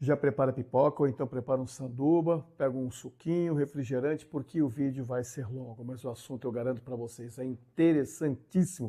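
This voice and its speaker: A man with a dark, mellow tone speaks at a fairly quick pace, with hardly any pauses. The background is quiet. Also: medium pitch for a man. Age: 60s. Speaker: YouTuber, driver commentator. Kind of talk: casual vlog monologue. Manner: animated; halting.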